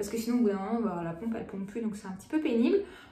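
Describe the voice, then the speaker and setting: Room echo surrounds a woman's voice. Her pitch is fairly high, with ordinary variation. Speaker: beauty vlogger. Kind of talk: casual product haul vlog. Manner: hesitant, many fillers.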